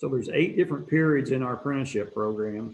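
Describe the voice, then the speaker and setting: Showing ordinary pitch variation, the speaker has a plain, everyday voice. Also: man. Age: 60s. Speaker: bricklayer apprenticeship director. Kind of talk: interview.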